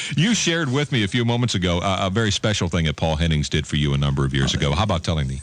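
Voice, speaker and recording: Despite noticeable background noise, a man with a very deep, low voice races along at a very fast pace with hardly any pauses, very wide pitch swings and very even loudness. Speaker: radio host, interviewer. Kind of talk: radio interview.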